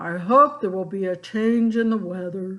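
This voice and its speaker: At a moderate pace and middle pitch, the speaker uses a gruff, put-on character voice. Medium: read story. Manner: grumbling.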